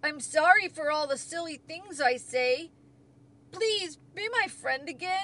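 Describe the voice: Speaking slowly in a put-on character voice, a woman uses lively intonation, a high pitch and a fairly bright tone.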